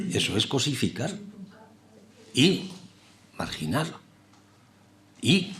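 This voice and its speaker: A man speaks with lively intonation and a somewhat breathy voice. There is audible room echo. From Basque Country, San Sebastián. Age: middle-aged. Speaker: TV scriptwriter and lecturer. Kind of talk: lecture. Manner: halting, many repetitions and fillers.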